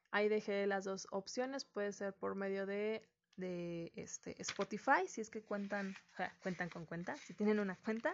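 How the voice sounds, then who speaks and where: A woman speaks in an ordinary speaking voice at a medium pitch, with ordinary pitch variation and a fairly slow pace. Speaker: podcast host. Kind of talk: solo reflective monologue.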